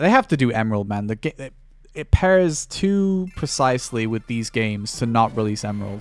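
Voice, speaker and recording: A man with a British accent speaks at a moderate pace, his medium-pitched voice swinging very widely in pitch. The recording is very clean, with a silent background. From Britain. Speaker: streamer. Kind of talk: casual chat.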